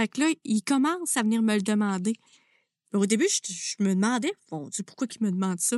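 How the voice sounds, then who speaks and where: A woman speaks at a moderate pace with lively intonation and a fairly high pitch. The sound is dry and close with no echo, over a quiet background. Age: 30s. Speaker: music teacher and podcast host. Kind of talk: interview.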